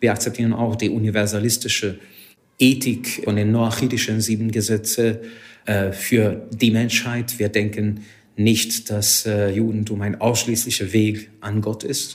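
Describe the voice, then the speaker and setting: This man talks with a Hungarian accent at a fairly low pitch. His intonation is monotone and flat, and his pace is fairly slow. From Hungary. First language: Hungarian (speaking German). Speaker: rabbi. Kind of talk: interview. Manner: halting.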